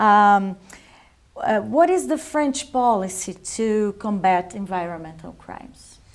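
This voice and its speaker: Speaking at a very slow pace with long, frequent pauses, a woman with a Portuguese accent uses medium pitch, lively intonation and big swings in loudness. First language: Portuguese (speaking French). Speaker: interviewer. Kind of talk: presenting; interview.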